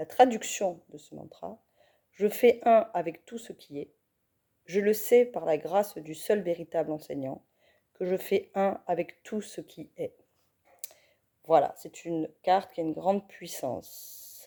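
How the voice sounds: A woman puts on a hoarse character voice at a medium pitch with ordinary pitch variation. She talks at a fairly slow pace, leaving long, frequent pauses.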